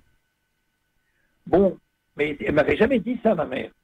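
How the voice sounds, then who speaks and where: Here a man speaks with lively intonation. He holds a moderate pace. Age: 80s+. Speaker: priest, community founder. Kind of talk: radio interview.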